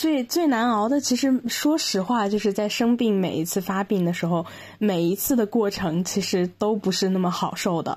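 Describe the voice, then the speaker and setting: Somewhat breathy and at medium pitch, a woman speaks at a moderate pace with lively intonation and very even loudness. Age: 20s. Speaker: podcast guest sharing mental health experience. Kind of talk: personal testimony in interview. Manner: halting, many fillers.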